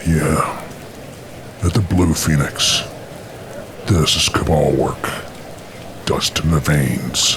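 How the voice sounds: In a put-on character voice, a man speaks slowly at an extremely low pitch with a fairly bright tone and ordinary pitch variation. Long, frequent pauses break up his speech amid audible room echo.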